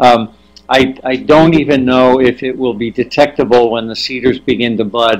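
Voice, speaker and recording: This man's voice sits at a medium pitch and his intonation is fairly even. He talks at a moderate pace. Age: 60s. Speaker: nuclear engineer and consultant. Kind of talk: webinar talk with Q&A. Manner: halting, many fillers and restarts.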